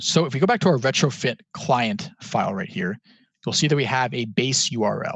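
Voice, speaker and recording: A man's somewhat breathy voice at a fairly quick pace, with lively intonation. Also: medium pitch for a man. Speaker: student hackathon workshop instructor. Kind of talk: tutorial. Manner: fast; casual, filler words.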